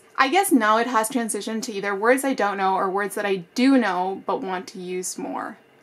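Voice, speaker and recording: The speech moves at a fairly quick pace with ordinary pitch variation. Noticeable background noise runs behind it. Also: woman, big swings in loudness. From Spanish-speaking country, then Canada from age seven. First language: Spanish. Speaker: book YouTuber. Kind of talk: casual tutorial to camera. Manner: animated.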